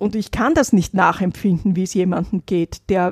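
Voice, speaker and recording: A woman speaks with a dark, mellow tone. The sound is dry and close with no echo. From Vienna, Austria. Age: 70s. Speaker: poverty activist, single mother. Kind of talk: interview, personal testimony.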